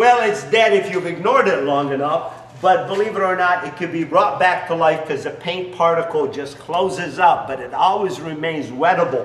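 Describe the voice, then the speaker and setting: Audible room echo surrounds a man talking at a moderate pace. He has a high pitch with ordinary variation. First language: not English. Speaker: business founder; business owner demonstrating product. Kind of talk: sales pitch with demonstration. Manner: halting, many fillers. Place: garage.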